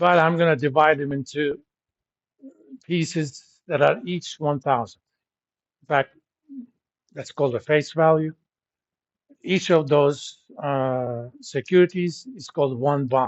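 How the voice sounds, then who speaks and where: A man with a non-native accent talks at a fairly slow pace with long, frequent pauses. His fairly high pitch shows ordinary pitch variation. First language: not English. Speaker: university lecturer. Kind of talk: lecture. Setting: classroom. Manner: conversational with filler words.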